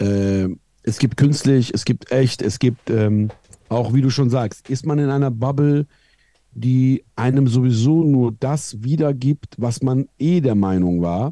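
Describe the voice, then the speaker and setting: A man with a dark, mellow tone and medium pitch speaks very slowly with ordinary pitch variation. The sound is dry and close, with no echo. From Iran. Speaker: streamer and online commentator. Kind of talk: casual podcast conversation.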